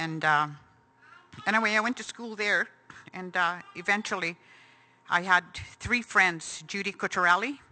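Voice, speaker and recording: Long, frequent pauses break up a woman's speech at a moderate pace. Her medium pitch carries a bright, sharp tone with ordinary pitch variation. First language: Cree. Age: 60s. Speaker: residential school survivor. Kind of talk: testimony. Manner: halting.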